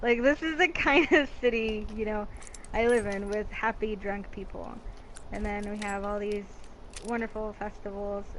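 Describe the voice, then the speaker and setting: Her voice sits at a fairly high pitch with ordinary pitch variation and big swings in loudness as the woman speaks at a moderate pace. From Mexico, moved to US at eight. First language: Spanish. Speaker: video game streamer. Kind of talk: interview.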